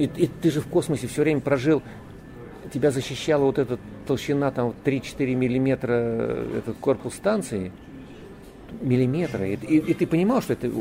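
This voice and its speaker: At a moderate pace, a man with a medium pitch and ordinary pitch variation talks with long, frequent pauses. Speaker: cosmonaut. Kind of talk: interview.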